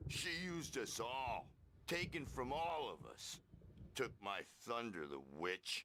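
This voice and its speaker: A man puts on a raspy character voice at a medium pitch. He moves at a fairly slow pace, his pitch swinging very widely. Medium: video game. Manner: brash, slangy.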